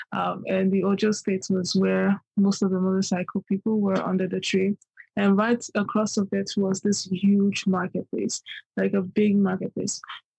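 Somewhat breathy and dark, mellow in tone, a woman speaks at a moderate pace and medium pitch in a monotone, flat intonation with very even loudness, recorded dry and close with no echo. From Nigeria (Yoruba, Ibadan). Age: young. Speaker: poet. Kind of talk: interview conversation. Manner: hesitant, many fillers.

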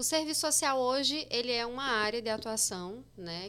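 A woman's fairly high, bright, sharp voice with lively intonation, in a very clean recording with a silent background. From Paraíba sertão, Itaporanga (born in Osasco). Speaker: social worker and exam-prep teacher. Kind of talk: casual podcast interview.

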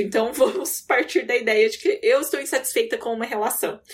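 This woman speaks at a high pitch, and her pitch swings very widely. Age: 20s. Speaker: podcast co-host. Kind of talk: casual chat.

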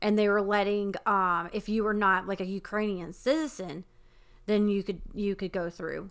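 On a very clean recording with a silent background, a woman speaks in an ordinary speaking voice. She has a medium pitch, fairly even intonation and a moderate pace. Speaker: podcast co-host. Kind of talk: casual chat.

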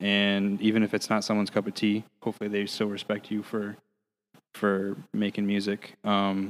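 A man speaks in a fairly low pitch at a moderate pace. His intonation is monotone and flat. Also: very clean recording, silent background. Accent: American. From Michigan, US. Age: 20s. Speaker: band drummer. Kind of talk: casual chat.

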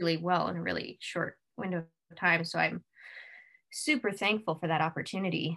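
A woman speaking at a fairly quick pace with big swings in loudness. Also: quiet background. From western North America, mainly western Canada. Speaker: actor and filmmaker. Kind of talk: casual interview chat.

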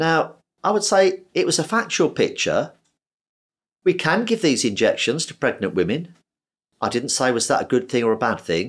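A man with vocal fry talks at a fairly high pitch with very wide pitch swings and long, frequent pauses, in a very clean recording with a silent background. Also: moderate pace. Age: 60s. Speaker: surgeon. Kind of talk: interview.

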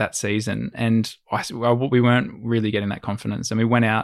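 Fairly low in pitch, a man speaks with an Australian accent and fairly even intonation. The recording is very clean, with a silent background. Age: 20s. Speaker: adventure videographer and sailor. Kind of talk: casual chat.

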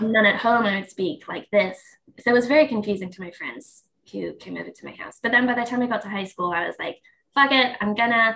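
A woman with an American accent, fairly high-pitched, bright and sharp in tone, very fast, with big swings in loudness. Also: ordinary pitch variation. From England, later lived in New York. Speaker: podcast guest, registered dietitian.

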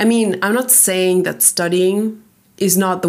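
A woman at medium pitch talks at a moderate pace in an ordinary speaking voice. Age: 20s. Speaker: podcast host. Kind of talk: casual solo chat.

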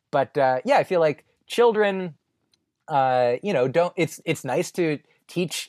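A man with a normal speaking voice and an American accent, fairly slow in pace with ordinary pitch variation, on a very clean, dry, close recording with a silent background and no echo. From New Jersey. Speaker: stand-up comedian. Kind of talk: podcast interview.

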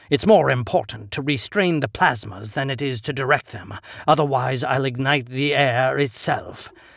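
Just plain reading aloud.

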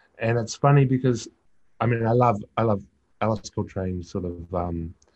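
With a New Zealand accent, a man speaks at a moderate pace with a fairly low pitch and ordinary pitch variation. Long, frequent pauses break up his speech against a quiet background. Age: 40s. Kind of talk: interview. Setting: video call. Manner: halting.

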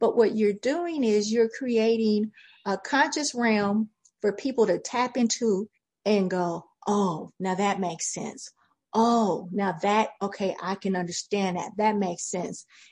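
Over a quiet background, a woman with a fairly high pitch speaks at a fairly slow pace, somewhat breathy, with ordinary pitch variation. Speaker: real estate agent and public speaking expert. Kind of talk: casual interview chat.

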